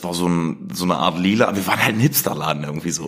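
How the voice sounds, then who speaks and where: With a Saxony-Anhalt accent and a very deep, low pitch, a man talks in an animated tone at a fairly quick pace. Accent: regional Saxony-Anhalt dialect coloring. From Germany, Harz region (Blankenburg, Saxony-Anhalt). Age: 30s. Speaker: chef. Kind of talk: interview. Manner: fast.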